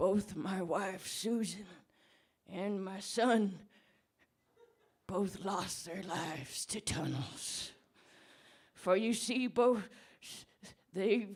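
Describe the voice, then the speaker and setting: A woman speaks in a raspy, put-on character voice at medium pitch and a very slow pace, with ordinary pitch variation and long, frequent pauses. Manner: mournful, halting.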